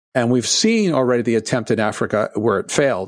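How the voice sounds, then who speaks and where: A man with a medium pitch talks at a fairly quick pace in a normal speaking voice, in a very clean recording with a silent background. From Canada, Toronto. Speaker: economic forecaster. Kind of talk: interview.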